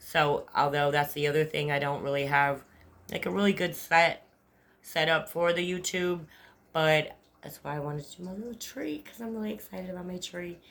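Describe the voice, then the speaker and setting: With an American accent, a woman speaks at a fairly low pitch, her pitch varying in an ordinary way while her loudness swings widely. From Upstate New York. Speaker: vlogger. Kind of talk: casual monologue. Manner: fast; rambling, halting.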